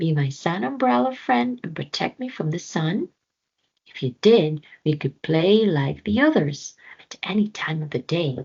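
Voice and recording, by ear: A put-on character voice from a woman, fairly low in pitch and fairly slow, with vocal fry, a slightly husky edge, and a slightly mellow tone. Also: lively intonation.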